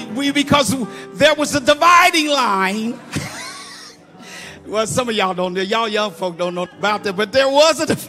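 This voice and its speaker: A man with an American accent speaks at a moderate pace, with faint music in the background. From Muncie, Indiana. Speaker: preacher giving a eulogy. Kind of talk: informal, call-and-response preaching. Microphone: handheld.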